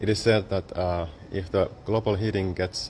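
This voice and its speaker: The speaker is a man with a Finnish accent. He talks fairly slowly at a fairly low pitch. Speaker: photographer and exhibition artist. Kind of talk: exhibition guided talk. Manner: halting, with many fillers.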